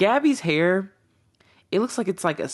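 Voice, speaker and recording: An animated woman's voice with very wide pitch swings against a quiet background. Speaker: YouTuber, TV reaction video essayist. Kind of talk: casual reaction video monologue. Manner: rambling, many fillers.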